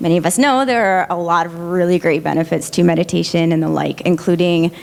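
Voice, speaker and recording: A soft-spoken woman with a fairly low pitch, amid noticeable background noise. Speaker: audience member asking a question. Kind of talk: audience question. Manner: hesitant, many fillers.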